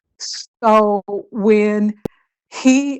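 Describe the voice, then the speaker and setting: With a quiet background, a woman speaks at a medium pitch with ordinary pitch variation, an ordinary speaking voice. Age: 60s. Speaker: romance scam victim sharing her experience. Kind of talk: interview testimony.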